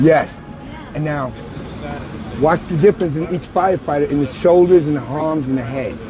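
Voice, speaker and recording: Noticeable background noise sits behind a man with a fairly high voice. He talks at a fairly quick pace with ordinary pitch variation. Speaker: former World Trade Center worker, volunteer memorial keeper. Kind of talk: interview answer.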